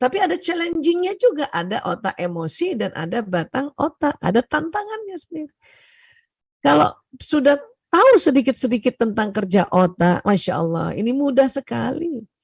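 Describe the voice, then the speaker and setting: A soft-spoken woman talks at a moderate pace in a high pitch with very wide pitch swings. The sound is dry and close, with no echo. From Indonesia, Bugis Makassar heritage, Palembang mother. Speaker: doctor and seminar speaker. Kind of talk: seminar lecture. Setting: online video seminar. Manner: loud, hard for her to speak softly; often laughs.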